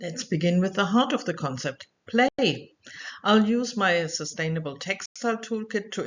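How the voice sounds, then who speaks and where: A woman with a German accent speaks at a moderate pace and medium pitch, her voice moving in very wide pitch swings. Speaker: researcher and educator. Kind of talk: online course lecture. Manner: clear, scripted.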